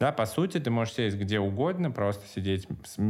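In a very clean recording with a silent background, a man with an unremarkable speaking voice and ordinary pitch variation talks at a fairly quick pace. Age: 30s. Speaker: meditation teacher. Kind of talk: casual chat.

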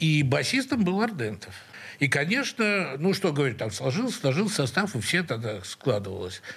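A man's voice with very wide pitch swings. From Russia, St Petersburg (Leningrad). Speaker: rock guitarist and composer. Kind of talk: interview. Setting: radio studio.

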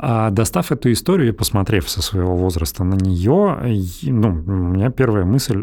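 Noticeable background noise sits behind a man speaking at a moderate pace. His voice is fairly low with lively intonation. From Russia, Belgorod. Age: 30s. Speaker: podcast host, lawyer. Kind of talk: casual chat.

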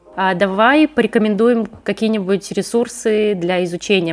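A woman speaks in a plain, everyday voice at a medium pitch. Her pace is moderate, with ordinary pitch variation. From Russia, Leningrad region. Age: 30s. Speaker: podcast host, copywriter. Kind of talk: casual interview chat.

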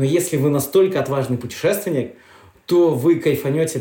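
The man's voice has a dark, mellow tone and is somewhat breathy. He talks at a moderate pace with ordinary pitch variation. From Karelia, Russia. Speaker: travel guide and glamping owner. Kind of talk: casual interview. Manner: animated.

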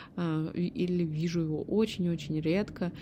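Speaking at a very slow pace, a woman has a relaxed, dark, mellow tone and a fairly low pitch. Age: 30s. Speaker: podcast host. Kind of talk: solo podcast monologue. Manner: chatty, relaxed.

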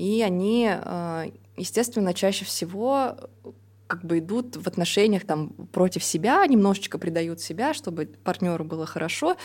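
In a plain, everyday voice, a woman talks at a moderate pace with medium pitch and ordinary pitch variation. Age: 30s. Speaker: podcast co-host. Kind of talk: casual podcast conversation.

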